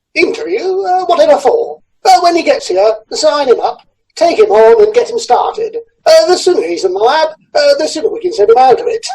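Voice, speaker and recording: An extremely high-pitched put-on character voice moves at a fairly quick pace. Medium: audio drama. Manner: hesitant, full of "uh" fillers.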